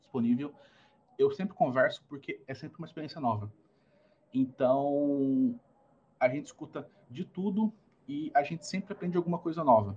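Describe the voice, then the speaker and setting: A man's somewhat breathy voice with lively intonation, big swings in loudness, a moderate pace, and long, frequent pauses. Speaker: innovation consultant and startup mentor. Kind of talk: interview.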